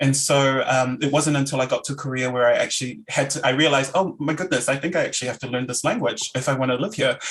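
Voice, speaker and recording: A man with a New Zealand accent, fairly high in pitch, at a very fast pace with hardly any pauses and fairly even intonation. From New Zealand, Auckland. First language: Samoan. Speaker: academic lecturer. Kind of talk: Q&A discussion.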